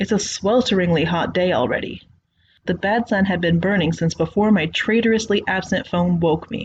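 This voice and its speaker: Somewhat breathy, a woman with an American accent speaks fairly quickly, her pitch varying in an ordinary way. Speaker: creepypasta narrator. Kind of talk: horror story narration.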